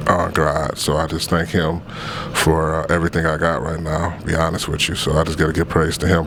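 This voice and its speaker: Noticeable background noise behind a man with a very deep, low pitch, talking at a fairly quick pace in a monotone, flat intonation. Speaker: clothing business owner. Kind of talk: interview answers. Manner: halting.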